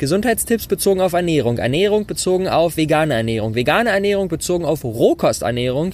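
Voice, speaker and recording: Very wide pitch swings run through this man's animated tone as he talks at a fairly quick pace. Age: 20s. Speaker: entrepreneur. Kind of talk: solo podcast talk. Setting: outdoors on rooftop terrace.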